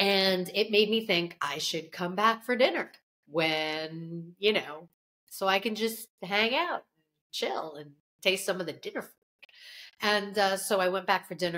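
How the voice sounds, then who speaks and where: Her tone bright and sharp, a woman talks at a moderate pace with big swings in loudness. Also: quiet background. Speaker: food writer podcast co-host. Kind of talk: casual podcast chat. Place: home room.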